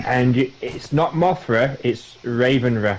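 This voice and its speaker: Very slow speech in a Yorkshire accent, with noticeable background noise. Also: man. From Yorkshire, northern England. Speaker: gamer streamer. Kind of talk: casual chat.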